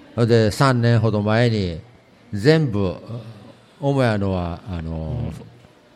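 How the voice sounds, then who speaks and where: Amid noticeable background noise and audible room echo, a man with a fairly low pitch and lively intonation talks very slowly, with long, frequent pauses and big swings in loudness. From Tottori, Kurayoshi. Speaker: antique shop owner. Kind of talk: interview. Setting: public recording in shopping center.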